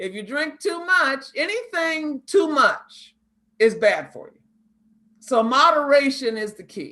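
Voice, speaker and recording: A woman speaks in a raised, projected voice with a bright, sharp tone and a high pitch. Her pace is very slow, with very wide pitch swings and big swings in loudness. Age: 60s. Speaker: pharmacist and diabetes educator. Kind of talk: health talk in an online mentoring session.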